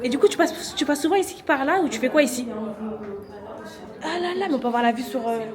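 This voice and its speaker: A high-pitched woman speaks at a fairly quick pace in an animated tone, with lively intonation and big swings in loudness. Noticeable background noise and audible room echo surround her. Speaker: vlogger. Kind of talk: casual vlog chat.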